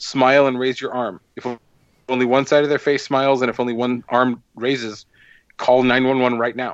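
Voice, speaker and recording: The man's medium-pitched voice stays flat and monotone throughout. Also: moderate pace. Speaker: podcast co-host. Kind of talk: casual chat. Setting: remote call recording.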